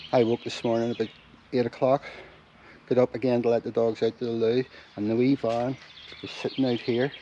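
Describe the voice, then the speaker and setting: A man with a medium pitch talks at a very fast pace in a monotone, flat way. Noticeable background noise runs underneath. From Ireland. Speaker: van lifer. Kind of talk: casual talk to camera.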